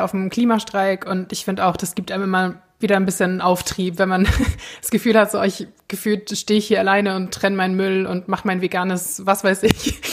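A woman speaks very fast at a medium pitch. Her intonation stays flat and monotone. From Germany. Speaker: podcast co-host. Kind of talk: casual chat.

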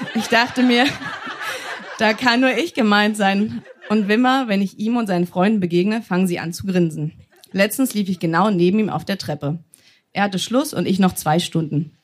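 At a moderate pace, a woman speaks with a somewhat breathy, medium-pitched voice and ordinary pitch variation. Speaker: stage reader. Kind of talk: reading aloud. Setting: stage with audience.

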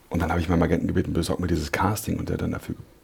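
There is noticeable noise in the background. A man speaks very fast. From Berlin, Germany (Neukölln). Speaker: actor. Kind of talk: interview. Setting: studio.

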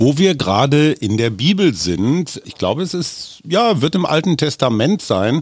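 A man speaks at a fairly slow pace, his pitch swinging very widely. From Germany, Oldenburg area. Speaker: podcast host and journalist. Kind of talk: casual interview.

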